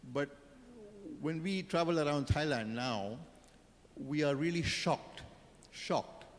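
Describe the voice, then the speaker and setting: Here a man speaks at a fairly slow pace with a fairly high pitch. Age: 60s. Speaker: panelist. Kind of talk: panel discussion. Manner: hesitant, with fillers and repetitions.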